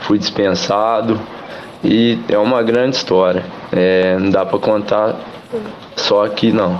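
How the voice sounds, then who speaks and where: Against noticeable background noise and audible room echo, a man with fairly low pitch speaks very slowly, with long, frequent pauses, fairly even intonation and very even loudness. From Minas Gerais, Brazil (São João del-Rei). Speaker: amateur footballer and barber. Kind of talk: radio interview.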